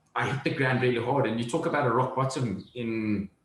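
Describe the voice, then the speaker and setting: The speech comes at a very fast pace with ordinary pitch variation. Room echo is audible. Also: man. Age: 30s. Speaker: entrepreneur. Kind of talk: interview.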